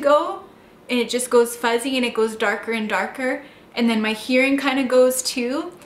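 A high-pitched woman at a moderate pace, with ordinary pitch variation and audible room echo. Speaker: vlogger telling a personal story. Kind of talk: casual vlog chat. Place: home room.

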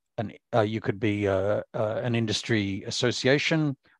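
A man with an unremarkable speaking voice at medium pitch, lively intonation, a dry sound with no echo and a quiet background. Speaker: professor. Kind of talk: conference keynote talk. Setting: video call. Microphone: video call.

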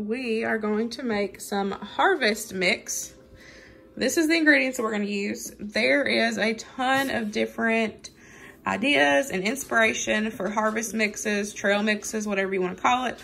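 A woman speaks at a moderate pace with lively intonation. Light background noise can be heard. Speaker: home cooking vlogger. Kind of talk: casual tutorial chat. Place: kitchen. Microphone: phone near.

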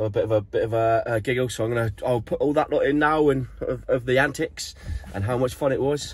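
A man speaks in a somewhat breathy voice. The sound is dry, with no echo. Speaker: surf van-life vlogger. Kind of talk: casual vlog chat. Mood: a bit hungover but cheerful. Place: car. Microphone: phone near.

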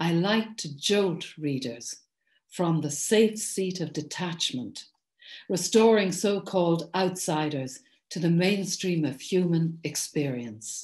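Against a quiet background, a woman with an Irish accent and a fairly low pitch talks at a very slow pace, somewhat breathy, with lively intonation. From Ireland. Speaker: poet and author; poet. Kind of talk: recorded address. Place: home room. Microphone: webcam.

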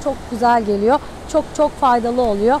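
A woman speaks at a fairly quick pace with lively intonation. The sound is dry with no echo, and background noise is noticeable. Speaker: math teacher, student coach. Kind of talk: motivational talk to students. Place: beach.

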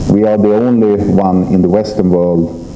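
A man talks at a moderate pace with a fairly low pitch and ordinary pitch variation. There is light background noise and audible room echo. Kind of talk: press conference speech. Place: hall. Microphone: podium.

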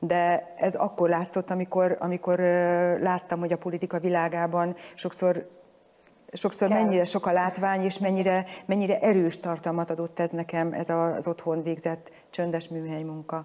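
Her fairly low, dark and mellow voice stays monotone and flat as the woman talks at a moderate pace. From Hungary, Budapest; Hungary. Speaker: former member of parliament, government commissioner for music education; interview guest. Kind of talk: studio interview. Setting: studio. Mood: calm, thoughtful. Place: hall. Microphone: lapel.

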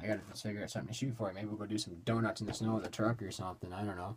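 Somewhat breathy and fairly low in pitch, a man speaks with ordinary pitch variation amid noticeable background noise. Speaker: hobby collector vlogger. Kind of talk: casual vlog chat. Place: home room.

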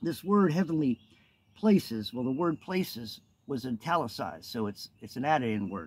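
Pitch leaps across a very wide range. Delivery moves at a moderate speed. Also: man. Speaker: minister. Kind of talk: casual vlog chat and scripture teaching. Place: forest. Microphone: phone near.

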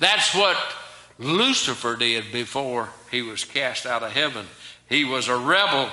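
A man with an American accent speaks in an animated tone. Audible room echo surrounds his voice. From US South. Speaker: preacher. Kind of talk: sermon. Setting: church. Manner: animated, emphatic preaching with rhetorical questions. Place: church. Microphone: podium.

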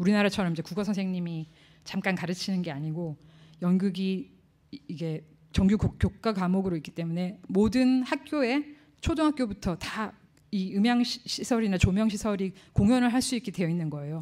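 A woman speaks at a moderate pace with a dark, mellow tone. Her intonation is lively, and the background is quiet. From South Korea. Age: 40s. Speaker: professor and sound engineer; professor. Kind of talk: conference lecture. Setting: lecture hall with audience. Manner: casual, conversational. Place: hall. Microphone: podium.

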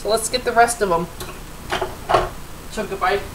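A woman speaks with ordinary pitch variation. Noticeable background noise can be heard. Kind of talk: tutorial. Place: kitchen. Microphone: webcam.

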